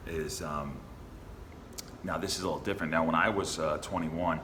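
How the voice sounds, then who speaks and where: A man's very deep, low voice at a very fast pace, with audible room echo and noticeable background noise. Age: 30s. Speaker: dating coach. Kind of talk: casual conversation.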